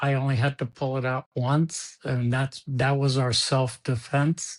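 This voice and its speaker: A man at medium pitch speaks fairly slowly in a flat monotone with very even loudness. The sound is dry and close with no echo, over a quiet background. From Cuba. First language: Spanish. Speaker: sports executive. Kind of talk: interview. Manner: halting, repeats words.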